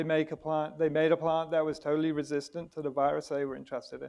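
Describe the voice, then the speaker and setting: This man has a British accent. His intonation is monotone and flat. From Britain. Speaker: biologist and nonprofit director, debate panelist. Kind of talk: panel debate opening statement. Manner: halting, many fillers and restarts.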